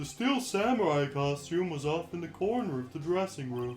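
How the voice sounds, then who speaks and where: Using a put-on character voice at a fairly high pitch, a man speaks at a moderate pace over clear background noise. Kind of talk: video game dub.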